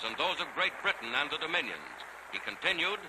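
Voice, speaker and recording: A man talks fairly quickly, with noticeable background noise behind him. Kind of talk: 1940s newsreel narration. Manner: brisk, authoritative.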